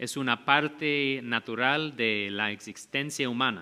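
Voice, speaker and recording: Speaking very slowly in a non-native accent, a man with a medium pitch and a bright, sharp tone uses ordinary pitch variation. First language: not Spanish (speaking Spanish). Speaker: pastor. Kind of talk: sermon.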